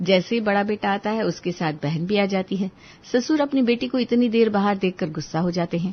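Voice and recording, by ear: The speaker is a woman. She has a medium pitch with ordinary pitch variation. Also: fairly quick pace.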